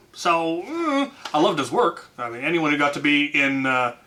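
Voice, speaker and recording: Against noticeable background noise, a man with a fairly high pitch speaks at a fairly slow pace. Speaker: YouTuber answering fan questions. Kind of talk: casual Q&A. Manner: loud; hesitant, many fillers.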